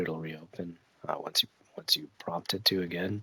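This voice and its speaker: Soft-spoken, a man talks at a moderate pace in a very deep, low pitch. His tone is bright and sharp. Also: dry, close sound with no echo. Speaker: gaming streamer. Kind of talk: live gameplay commentary. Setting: at home, child napping. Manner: quiet, talking softly; casual, hesitant with fillers.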